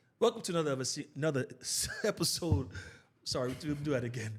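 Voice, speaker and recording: Somewhat breathy and animated, a man races along at a very fast pace, his fairly high pitch swinging very widely. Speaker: podcast host. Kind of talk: casual chat. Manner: stuttering.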